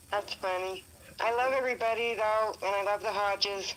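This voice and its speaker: Flat and monotone, a woman speaks at a moderate pace. Her pitch is medium. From Utah. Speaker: caller. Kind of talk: casual chat.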